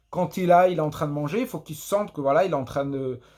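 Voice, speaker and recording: A man with a fairly high voice speaks very fast with ordinary pitch variation. The recording is very clean, with a silent background. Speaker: podcaster. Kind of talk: casual monologue. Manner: halting, many repetitions; unscripted, off the cuff.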